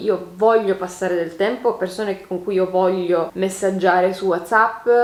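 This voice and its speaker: A woman speaks at a moderate pace in an animated tone, with noticeable background noise. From Turin, northern Italy. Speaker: beauty YouTuber. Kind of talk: casual chat, Q&A while doing makeup. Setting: home, on sofa.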